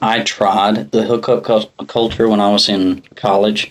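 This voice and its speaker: In an American accent, a man talks at a fairly slow pace and a medium pitch. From South Carolina, US South. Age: 20s. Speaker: podcast guest, cowboy and businessman. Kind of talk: casual podcast chat.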